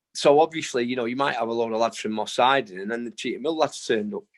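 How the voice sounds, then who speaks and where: A man with a Manchester accent, medium-pitched, at a very fast pace with fairly even intonation over a quiet background. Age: 60s. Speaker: boxing trainer. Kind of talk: interview. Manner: casual, uses fillers.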